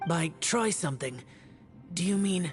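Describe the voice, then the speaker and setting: Over clear background music, a raspy put-on character voice at a middle pitch speaks at a moderate pace. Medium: video game. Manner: terse, grave.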